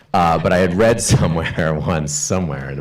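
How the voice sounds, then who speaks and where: A man talks loudly at a moderate pace with ordinary pitch variation. Audible room echo and noticeable background noise are present. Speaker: panelist, screenwriter. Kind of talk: panel discussion.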